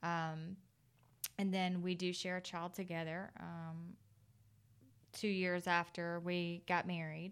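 A woman at a fairly low pitch, monotone and flat, very slow with long, frequent pauses, in a very clean recording with a silent background. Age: 30s. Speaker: widow sharing personal story. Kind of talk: testimony. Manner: halting.

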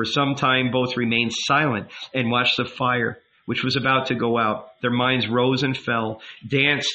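The clip features an unforced reading voice.

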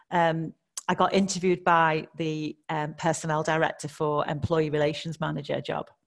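A woman's very deep, low voice in a Scouse accent, with monotone, flat intonation. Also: moderate pace. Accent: Liverpool (Scouse) accent, noticeable. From Liverpool, England. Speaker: HR director. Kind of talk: interview conversation.

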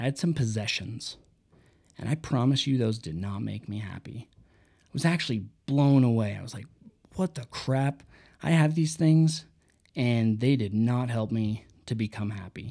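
A man speaks at medium pitch and a moderate pace in a dark, mellow tone. His pitch varies in an ordinary way while his loudness swings widely. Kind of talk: solo book review monologue. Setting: unedited solo podcast recording. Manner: unscripted, with pauses and fillers.

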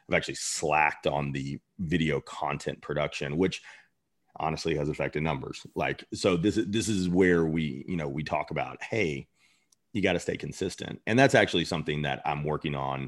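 At a moderate pace, a man with an American accent speaks at a very deep, low pitch with vocal fry and ordinary pitch variation. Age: 40s. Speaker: chef and restaurant owner. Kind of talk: interview.

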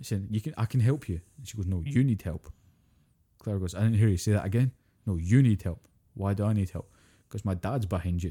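A man with a Scottish accent speaks at a fairly low pitch and fairly quick pace, his dark, mellow tone somewhat breathy, with long, frequent pauses and a dry, close sound with no echo. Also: ordinary pitch variation, very clean recording, silent background. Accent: British (Scottish). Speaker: podcast co-host. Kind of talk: casual chat.

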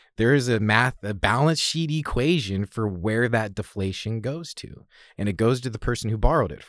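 Speaking with an American accent, a man uses a medium pitch, lively intonation and a moderate pace, with big swings in loudness. The recording is very clean, with a silent background. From Oregon, US Pacific Northwest (Salem). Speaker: real estate appraiser and investor. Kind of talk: interview. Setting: studio.

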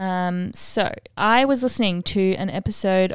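A woman at a medium pitch, talking at a very slow pace on a very clean recording with a silent background. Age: 20s. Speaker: podcast host. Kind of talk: solo monologue. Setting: outdoors sounds, birds audible. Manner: casual, filler-heavy.

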